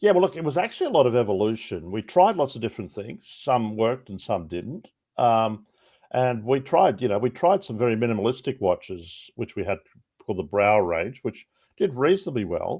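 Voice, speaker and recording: Here a man with an Australian accent talks fairly quickly at a medium pitch. His pitch swings very widely. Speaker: watch brand co-founder. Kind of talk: podcast interview.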